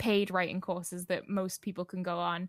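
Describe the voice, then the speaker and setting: A woman with a Geordie accent at a moderate pace, on a very clean recording with a silent background. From northeast England, Newcastle. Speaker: novelist. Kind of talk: interview.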